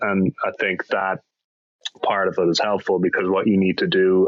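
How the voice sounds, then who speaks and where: A man talks at a moderate pace with an Irish accent. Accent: Irish brogue. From Ireland, Dublin. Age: 30s. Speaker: actor. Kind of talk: podcast interview.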